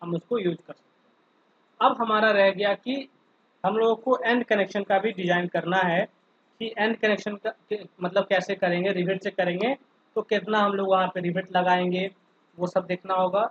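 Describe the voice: Dry and close with no echo, a man's high, fairly bright voice moves at a moderate pace with fairly even intonation.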